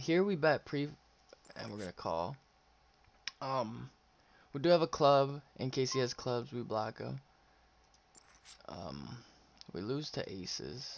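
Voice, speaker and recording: Long, frequent pauses at a fairly slow pace. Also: man. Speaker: poker streamer. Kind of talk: live-stream play-by-play commentary. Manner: halting, pauses while thinking; casual, chatty.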